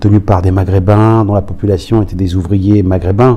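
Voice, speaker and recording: Against noticeable background noise, a man talks at a fairly slow pace in a fairly low voice. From Paris region, France (Aubervilliers). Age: 60s. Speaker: former professional footballer. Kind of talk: oral history interview. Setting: recorded interview in Roubaix. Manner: halting, many hesitations.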